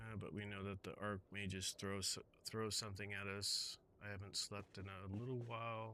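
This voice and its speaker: This soft-spoken man has a bright, sharp tone and a fairly low pitch, speaking at a moderate pace with monotone, flat intonation. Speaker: gaming streamer. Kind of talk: live gameplay commentary. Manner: halting. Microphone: too quiet, adjusting mic levels.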